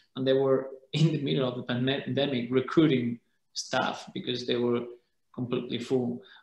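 With a Spanish accent, a man speaks at a moderate pace and fairly even intonation amid audible room echo. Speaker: holiday rental association president; panelist. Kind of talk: panel discussion. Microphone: webcam.

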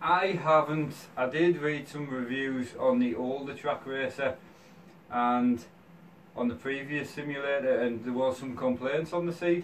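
At a fairly slow pace, a man speaks with ordinary pitch variation over light background noise. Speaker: gaming content creator reviewing a product. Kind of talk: product review. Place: home room. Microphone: camera far.

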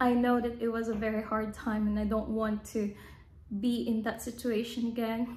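A woman speaks at a moderate pace in a somewhat breathy voice, with very even loudness and a monotone, flat intonation. There is audible room echo. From Philippines. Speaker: vlogger. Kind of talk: casual vlog monologue. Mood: calm, personal storytelling. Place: home room. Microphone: phone near.

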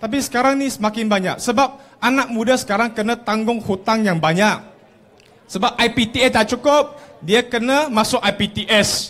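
A man's extremely high-pitched voice at a fairly slow pace, with very even loudness and ordinary pitch variation. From Malaysia. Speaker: politician. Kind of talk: campaign rally speech. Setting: outdoor stage with audience. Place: street.

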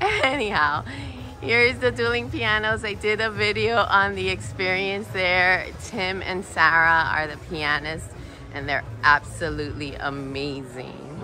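A woman's very deep, low voice over faint background music. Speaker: cruise vlogger. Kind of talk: casual vlog chat. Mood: enthusiastic, laughing. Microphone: phone near.

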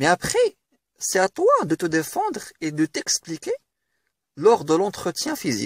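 Captured with a dry, close sound and no echo, the man speaks at a moderate pace. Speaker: career advice YouTuber. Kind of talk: tutorial.

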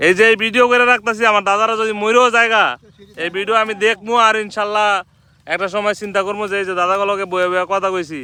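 A man projects a raised voice with a bright, sharp tone and a high pitch. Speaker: vlogger. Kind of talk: casual vlog chat.

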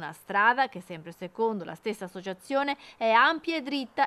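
A woman speaks in an ordinary speaking voice, her fairly high pitch carried by lively intonation in a dry, close sound with no echo. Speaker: news anchor. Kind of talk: formal TV news reading, scripted. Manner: formal; brisk, even-paced, authoritative delivery.

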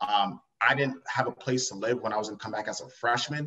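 Over light background noise, a man with an American accent talks very fast. His medium pitch stays fairly even in intonation. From Long Island, New York. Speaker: entrepreneur. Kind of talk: interview. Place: home room. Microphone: video call.

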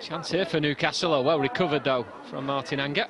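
A man speaks at a very fast pace in an animated tone. Crowd noise sounds in the background. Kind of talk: football commentary. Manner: fast, clipped play-by-play delivery; animated, building excitement at chances.

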